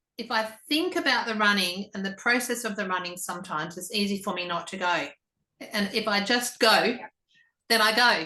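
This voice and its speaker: Speaking at a fairly quick pace with an Australian accent, a woman uses a bright, sharp tone, a medium pitch and ordinary pitch variation. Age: 60s. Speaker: interviewer, Pilates teacher. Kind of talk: interview.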